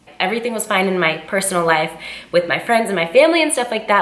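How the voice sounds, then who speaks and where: Noticeable background noise and audible room echo around a woman talking. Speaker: fitness vlogger. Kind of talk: casual chat.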